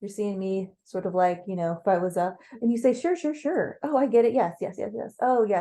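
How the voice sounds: Quiet surroundings behind a natural reading voice.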